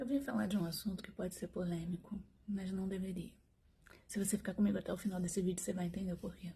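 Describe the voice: Using a put-on character voice, a woman talks at a very fast pace. She sounds hoarse, at a medium pitch.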